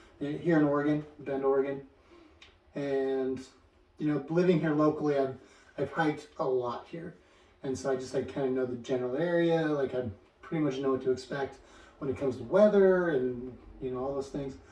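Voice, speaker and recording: Noticeable background noise sits behind a man's voice. He has fairly high pitch and a fairly quick pace. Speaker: hiker vlogger. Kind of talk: casual talk to camera. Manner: halting, many fillers and repeats.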